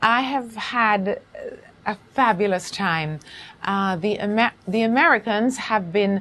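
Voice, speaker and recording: Speaking with a Jamaican accent, a woman uses a medium pitch and ordinary pitch variation. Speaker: actress and playwright. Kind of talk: interview.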